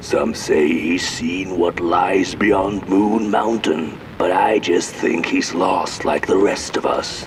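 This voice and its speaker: A man puts on a cartoonish character voice at a fairly slow pace. Clear background noise runs underneath. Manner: folksy, musing.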